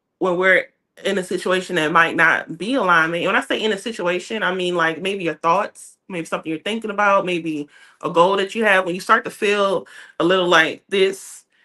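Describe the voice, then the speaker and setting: This woman talks at a fairly quick pace in a medium pitch, her tone bright and sharp and her intonation fairly even. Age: 20s. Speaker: book club podcast co-host. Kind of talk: casual chat.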